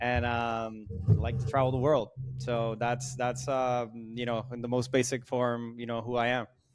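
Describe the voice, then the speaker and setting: The speaker has a Spanish accent. The intonation is monotone and flat. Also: man, medium pitch for a man, moderate pace. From Puerto Rico, Mayagüez. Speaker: sales consultancy founder. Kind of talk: podcast interview. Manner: loud.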